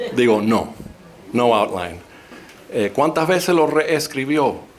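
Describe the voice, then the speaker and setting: With a Cuban accent, a man speaks fairly slowly in a fairly high pitch with lively intonation, and there is noticeable background noise. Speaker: historian and professor. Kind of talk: public talk.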